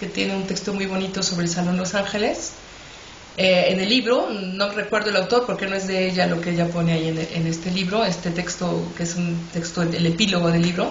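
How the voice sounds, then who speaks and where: Noticeable background noise and audible room echo fill the recording. The speaker talks at a fairly quick pace with fairly even intonation. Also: woman, medium pitch for a woman. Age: 60s. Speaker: writer and storyteller. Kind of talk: interview. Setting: online radio interview.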